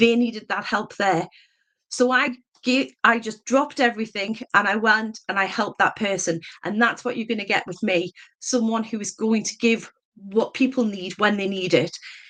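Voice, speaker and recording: Speaking in a northeast English accent, a woman uses a bright, sharp tone at a fairly high pitch, with ordinary pitch variation and a moderate pace. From northeast England, mining town. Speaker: election candidate. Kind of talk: campaign speech. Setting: public meeting hustings.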